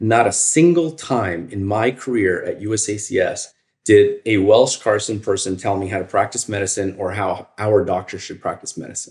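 Fairly low in pitch, a man talks at a moderate pace with ordinary pitch variation. His voice is somewhat breathy. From Northern Virginia. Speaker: emergency physician, chief medical officer. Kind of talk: interview.

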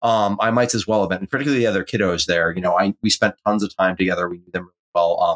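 The man talks at a very fast pace, and the sound is dry and close with no echo. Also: ordinary pitch variation, big swings in loudness. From rural New Hampshire. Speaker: pastor and podcast co-host. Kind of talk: casual chat.

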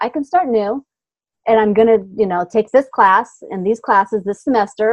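A woman with a fairly high pitch, an ordinary speaking voice, ordinary pitch variation and a fairly quick pace. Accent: American. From US Pacific Northwest, small town north of Seattle. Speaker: business coach. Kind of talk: interview.

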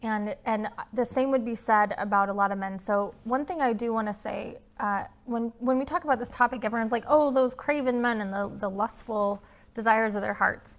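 On a very clean recording with a silent background, a woman talks at a fairly quick pace. Her pitch is fairly high, with ordinary pitch variation. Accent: Utah. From Utah. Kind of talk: interview. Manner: fast talker; animated.

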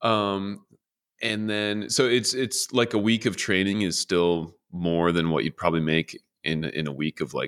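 On a very clean recording with a silent background and a dry, close sound with no echo, a man speaks at a moderate pace in a very deep, low voice with ordinary pitch variation. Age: 30s. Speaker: software consultant and teacher. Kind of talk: interview. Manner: halting, many fillers.

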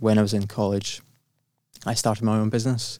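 The recording is very clean, with a silent background. The speaker has a Glaswegian accent and a monotone, flat intonation. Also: man. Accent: Glaswegian Scottish. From Scotland, Glasgow. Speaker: entrepreneur. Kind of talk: casual interview.

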